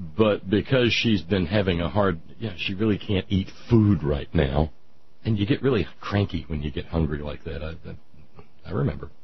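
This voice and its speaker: A man talks with a very deep, low pitch and ordinary pitch variation. His delivery is at a moderate pace and somewhat breathy. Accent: American. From Southern United States. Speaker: radio talk show host. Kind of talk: radio monologue, storytelling.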